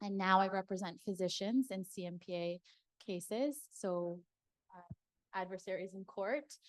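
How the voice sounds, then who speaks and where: A woman with an ordinary speaking voice talks at a moderate pace and medium pitch, with ordinary pitch variation, big swings in loudness, and a dry, close sound with no echo. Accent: Canadian. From Toronto. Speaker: lawyer. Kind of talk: panel discussion.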